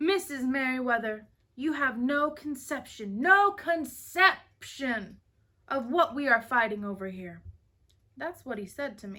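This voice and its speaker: Using a put-on character voice, a woman speaks fairly slowly at a high, resonant pitch with very wide pitch swings. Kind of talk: Southern melodramatic speechifying. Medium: read story. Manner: theatrical, pompous, every word weighted.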